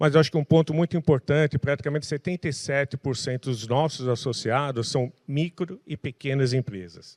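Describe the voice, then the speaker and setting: With an ordinary speaking voice at medium pitch and ordinary pitch variation, a man talks at a fairly quick pace in a dry, close sound with no echo on a very clean recording with a silent background. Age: 60s. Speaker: tech industry association president. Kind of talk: panel talk.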